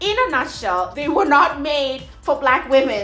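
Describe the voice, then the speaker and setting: Music runs in the background. A woman speaks with lively intonation. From South Africa. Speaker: mom blogger. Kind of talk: casual talk to camera.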